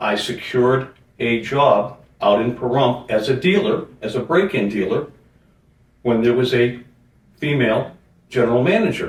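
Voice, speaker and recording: With an American accent, a man speaks at a medium pitch and a moderate pace, sounding somewhat breathy, with ordinary pitch variation and long, frequent pauses. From Boston, Massachusetts. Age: 60s. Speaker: junk removal business owner. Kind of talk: interview.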